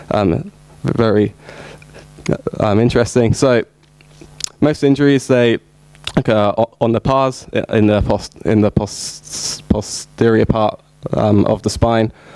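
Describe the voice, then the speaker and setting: A man's fairly slow, very evenly loud speech with long, frequent pauses and noticeable background noise. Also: medium pitch for a man, fairly even intonation. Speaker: sports injury researcher. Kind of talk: conference presentation. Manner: halting, many fillers.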